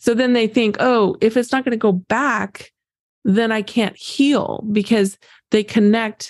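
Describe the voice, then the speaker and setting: Her pitch is fairly high for a woman, and her intonation stays fairly even. She speaks at a fairly slow pace. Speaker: grief coach. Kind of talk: casual chat. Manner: calm.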